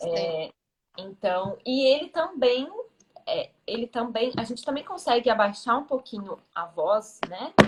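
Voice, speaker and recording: A woman's high-pitched voice with very wide pitch swings at a fairly slow pace. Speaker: self-esteem mentor. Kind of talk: interview answer.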